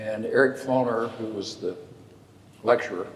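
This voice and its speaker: Audible room echo surrounds a man with a Texan accent. He speaks at a medium pitch and a fairly slow pace. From West Texas. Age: 80s+. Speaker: lawyer. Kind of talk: storytelling in a public conversation. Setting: church sanctuary with audience.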